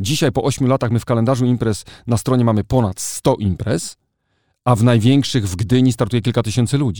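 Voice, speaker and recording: In a very clean recording with a silent background and a dry, close sound with no echo, a man with a medium pitch and a dark, mellow tone talks at a very fast pace with ordinary pitch variation. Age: 40s. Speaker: journalist and editor-in-chief. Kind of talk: casual interview.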